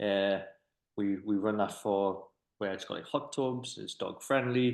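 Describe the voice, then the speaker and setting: He talks at a fairly slow pace in a fairly low pitch. The man has a Durham accent. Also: ordinary pitch variation. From northern England, County Durham. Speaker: business owner, podcast host. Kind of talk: casual interview chat. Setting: office. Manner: hesitant, fillers and repetitions.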